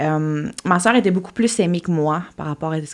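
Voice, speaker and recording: This woman has a fairly low pitch. She speaks at a fairly quick pace. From Quebec, Témiscamingue. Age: 30s. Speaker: podcast guest. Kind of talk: interview, personal testimony. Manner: halting, many fillers and repetitions.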